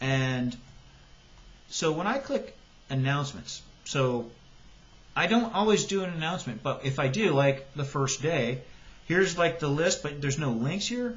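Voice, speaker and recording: Pausing long and often, a man with a fairly high pitch talks in a somewhat breathy voice with lively intonation. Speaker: high school biology teacher. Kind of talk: tutorial. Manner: fast. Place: home room. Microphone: webcam.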